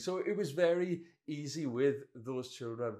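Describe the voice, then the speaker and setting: In a Welsh accent, a man speaks with a fairly high pitch. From Wales. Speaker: pastor. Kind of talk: sermon.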